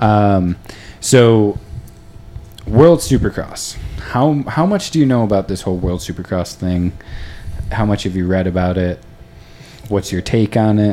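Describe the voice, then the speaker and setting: Long, frequent pauses from a man with a fairly low pitch and an American accent, at a fairly slow pace, amid noticeable background noise. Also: ordinary pitch variation. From US East Coast. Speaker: podcast host. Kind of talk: casual interview.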